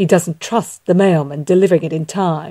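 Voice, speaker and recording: A put-on character voice comes through at a middle pitch and moderate pace. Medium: read story. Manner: teasing.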